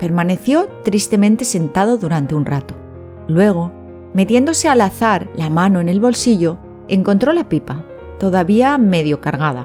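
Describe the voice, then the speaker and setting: The voice has a soothing, calm tone yet makes very wide pitch swings. It moves at a moderate pace with music in the background. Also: woman. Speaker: storyteller. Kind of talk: sleep story.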